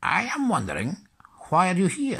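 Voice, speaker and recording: At a moderate pace, a man performs a put-on character voice pitched high. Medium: read story. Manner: inverted word order.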